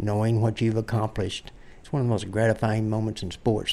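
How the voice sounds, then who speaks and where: A normal speaking voice comes from a man at medium pitch. He moves at a fairly quick pace. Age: 60s. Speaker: endurance cyclist. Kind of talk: interview.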